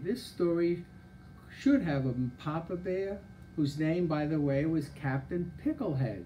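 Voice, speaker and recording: A man's dark, mellow tone at a fairly slow pace over light background noise. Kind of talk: reading a children's story aloud.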